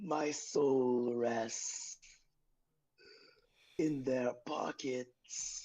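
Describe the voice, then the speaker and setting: Someone puts on a character voice pitched in the low-to-middle range. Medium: actual play. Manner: slow, grave.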